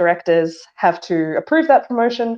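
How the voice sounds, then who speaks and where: With lively intonation, a woman speaks in an Australian accent. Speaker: engineering director. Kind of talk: casual chat. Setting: online audio room.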